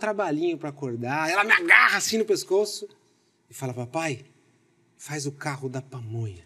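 Over light background noise, a man talks at a moderate pace with lively intonation and a bright, sharp tone. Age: 40s. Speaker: marketing executive and speaker; speaker. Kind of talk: casual interview chat. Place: studio.

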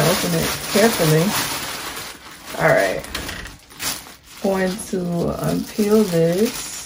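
A woman of medium pitch with an American accent at a very slow pace, with fairly even intonation, long, frequent pauses and noticeable background noise. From Southern United States. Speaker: beauty YouTuber. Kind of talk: product unboxing review. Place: home room. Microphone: phone near.

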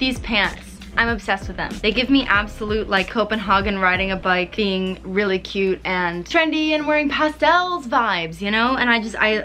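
The speech moves at a moderate pace with hardly any pauses. Faint music plays in the background. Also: woman. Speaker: fashion vlogger. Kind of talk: casual vlog chat. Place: home room. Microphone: camera far.

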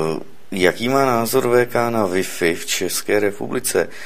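A man with ordinary pitch variation talks at a moderate pace, and noticeable background noise is present. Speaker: radio host taking calls. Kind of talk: call-in radio show.

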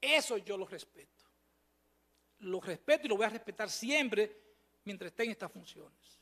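Against a quiet background, a man with a high, bright, sharp voice projects it at a moderate pace, with ordinary pitch variation, big swings in loudness and long, frequent pauses. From Dominican Republic. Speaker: supreme court judge. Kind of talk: formal testimony at a performance evaluation hearing. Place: hall. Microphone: podium.

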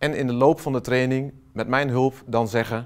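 The background stays quiet while a man talks, his pitch varying in an ordinary way. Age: 40s. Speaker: software trainer and consultant; software trainer. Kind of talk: company promo self-introduction. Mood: warm, enthusiastic. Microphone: lapel.

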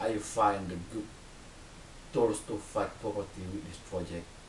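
A man with an Indonesian accent speaks at a fairly slow pace and a fairly low pitch. Audible room echo and light background noise surround his voice. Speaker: volunteer. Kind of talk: personal testimony to camera; testimonial talk to camera. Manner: halting, non-native phrasing. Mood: earnest, hopeful. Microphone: webcam.

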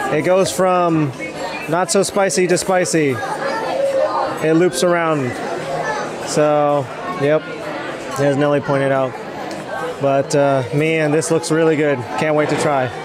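A man at a fairly slow pace with long, frequent pauses, dry with no echo, crowd noise in the background. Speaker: food vlogger. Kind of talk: casual vlog chat. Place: cafe. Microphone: phone near.

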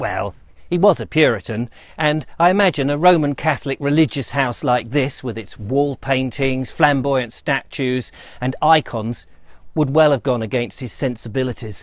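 The speaker is a man with ordinary pitch variation. He talks at a moderate pace against a quiet background. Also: dry sound with no echo. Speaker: presenter. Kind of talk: presenter commentary. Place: garden. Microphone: lapel.

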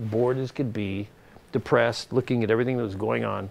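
With an American accent, a man talks at a fairly quick pace with fairly even intonation. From Long Beach, California; California. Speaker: business executive and investor; guest. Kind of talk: on-stage interview. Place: hall.

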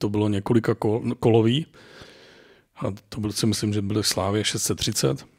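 In a very clean recording with a silent background, a man with an ordinary speaking voice talks at a moderate pace in a fairly low pitch, his intonation fairly even. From Czech Republic, rural forest lodge. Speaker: competitive hunting rifle shooter and hunter. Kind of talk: casual chat.

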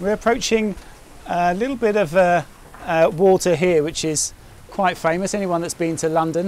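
A man's high-pitched voice at a moderate pace, with fairly even intonation and a dry sound with no echo. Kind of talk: casual vlog chat. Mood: relaxed, chatty. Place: boat.

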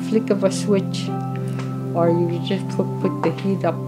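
Loud music plays in the background as a woman talks at a fairly slow pace. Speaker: community counsellor. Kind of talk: documentary interview answer. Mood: reflective, earnest. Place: home room.

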